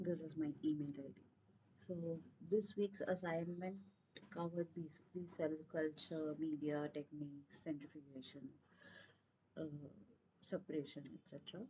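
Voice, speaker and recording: A woman's very deep, low voice, dark and mellow in tone and somewhat breathy, with fairly even intonation, big swings in loudness, a moderate pace and long, frequent pauses. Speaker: teaching assistant. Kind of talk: online tutorial session.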